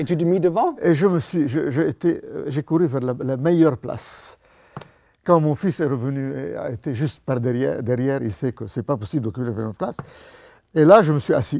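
The voice has a dark, mellow tone and lively intonation, moving at a moderate pace. The background is quiet. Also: man, fairly high pitch for a man. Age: 80s+. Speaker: retired banker turned evangelist. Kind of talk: testimony. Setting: studio. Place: studio. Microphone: lapel.

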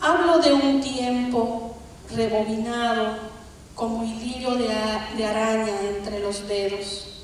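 Strong room echo and light background noise surround a woman speaking very slowly at a fairly high pitch with ordinary pitch variation. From Bolivia. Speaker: poet. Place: stage.

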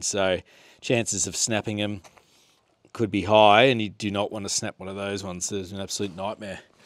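Over a quiet background, a man speaks with fairly low pitch and fairly even intonation, the sound dry with no echo. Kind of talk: tutorial. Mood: casual, mildly exasperated. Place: garage. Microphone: phone near.

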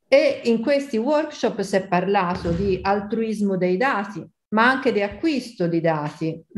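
A woman's medium-pitched voice at a very slow pace. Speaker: statistics professor. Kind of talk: interview. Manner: animated. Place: home room. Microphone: webcam.

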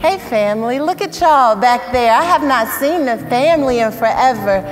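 Over music in the background, a woman speaks at a moderate pace with a high pitch. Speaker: preacher. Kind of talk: sermon. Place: church. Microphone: lapel.

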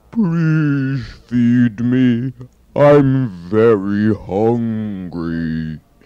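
A put-on character voice from a man, delivered at a very slow pace. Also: medium pitch for a man. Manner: polite, pleading.

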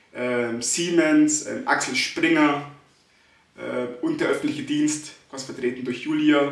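Audible room echo hangs around the voice. A man delivers his words at a very slow pace. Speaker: stutterer. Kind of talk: casual vlog talk to camera. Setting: empty echoing room. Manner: stuttering, frequent fillers. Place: empty room. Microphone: phone near.

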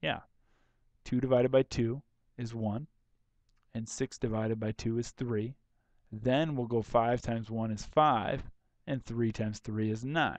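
In a plain, everyday voice, a man talks at a moderate pace and medium pitch. The sound is dry and close with no echo. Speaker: math teacher. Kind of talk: tutorial. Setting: recorded video lesson. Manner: casual, conversational.

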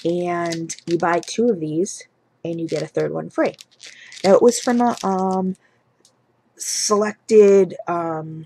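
A woman speaks quietly at a medium pitch with ordinary pitch variation and long, frequent pauses. The sound is dry with no echo, over light background noise. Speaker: beauty and home fragrance vlogger; home fragrance vlogger. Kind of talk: product haul video. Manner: quiet, hushed. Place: home room. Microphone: webcam.

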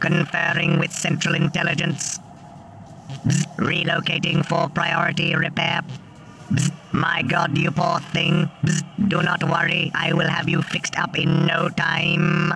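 Monotone, flat delivery from a man with a high pitch at a fairly slow pace, with clear background noise. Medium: game stream. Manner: flat, bureaucratic.

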